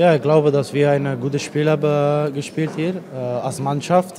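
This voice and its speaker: Here a man talks with a Dutch accent. There is noticeable background noise. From Netherlands. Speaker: footballer. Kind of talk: post-match interview. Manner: halting. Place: stadium. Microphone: handheld.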